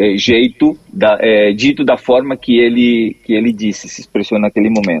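A man speaks with a Spanish accent at a moderate pace. His pitch sits in the middle range. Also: ordinary pitch variation, big swings in loudness. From Argentina, Corrientes. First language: Spanish (speaking Portuguese). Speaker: forensic expert. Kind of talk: phone interview. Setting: phone call. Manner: halting.

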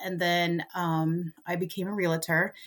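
On a very clean recording with a silent background, a woman talks in a normal speaking voice with fairly even intonation. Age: 50s. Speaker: grandmother raising grandsons, realtor. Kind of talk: casual interview.

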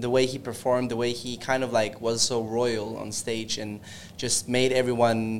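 At a moderate pace, a man speaks at medium pitch with fairly even intonation in a normal speaking voice. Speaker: dancer in a dance crew. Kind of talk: casual interview.

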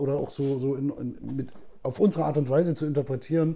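The speaker is a man with a dark, mellow tone. He keeps to a moderate pace. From Saxony-Anhalt, eastern Germany (Zeitz). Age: 40s. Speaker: actor. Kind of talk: casual chat.

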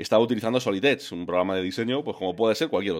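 This man's voice sits fairly low. Its pitch rises and falls in an ordinary way. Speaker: podcaster. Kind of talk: casual chat. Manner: animated.

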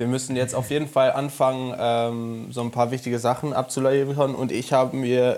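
A man talks at a moderate pace in a monotone, flat intonation. The recording is very clean, with a silent background. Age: 20s. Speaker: podcast co-host, former flatmate. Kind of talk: casual chat.

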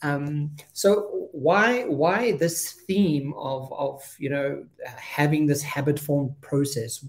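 Somewhat breathy, fairly high-pitched speech from a man. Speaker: podcast host and coach. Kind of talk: interview.

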